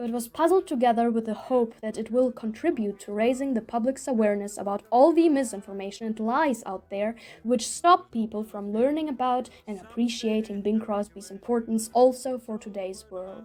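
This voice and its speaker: Here a woman speaks with a non-native accent in a dark, mellow tone. Her pace is moderate, and her loudness swings widely. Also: hardly any pauses. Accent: noticeable non-native. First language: not English. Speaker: documentary video maker. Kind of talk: scripted narration.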